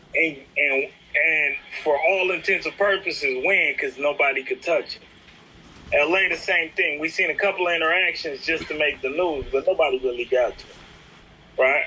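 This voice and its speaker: A man's voice shows big swings in loudness over noticeable background noise. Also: moderate pace. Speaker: street talk guest. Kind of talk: casual chat.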